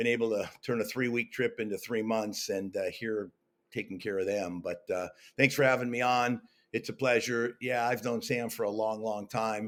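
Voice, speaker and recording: A man with an American accent and a normal speaking voice, medium in pitch, fairly even in intonation, at a moderate pace. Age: 60s. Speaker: network marketing entrepreneur. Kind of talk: interview. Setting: video call.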